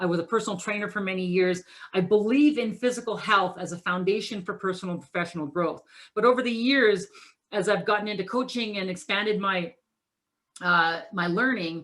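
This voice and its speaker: With a Canadian accent, a woman talks at a fairly quick pace in a medium pitch with ordinary pitch variation. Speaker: keynote speaker. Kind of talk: motivational presentation. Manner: fast.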